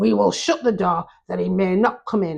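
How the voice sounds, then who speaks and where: Putting on a growling character voice, a woman speaks at a medium pitch and a moderate pace. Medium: read story.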